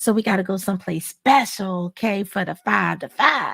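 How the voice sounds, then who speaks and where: A woman's somewhat breathy voice comes through. The sound is dry and close with no echo, in a very clean recording with a silent background. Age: 50s. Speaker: pilates instructor and wellness host. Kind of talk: live stream talk.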